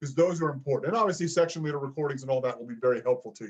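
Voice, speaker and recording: This man's voice is somewhat breathy. His pitch sits fairly high. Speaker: choir director. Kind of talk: online choir rehearsal talk. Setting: video call.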